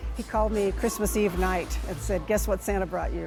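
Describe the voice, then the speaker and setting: A woman talks fairly quickly. Behind her, music plays. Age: 60s. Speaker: MMA fighter. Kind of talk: interview answer.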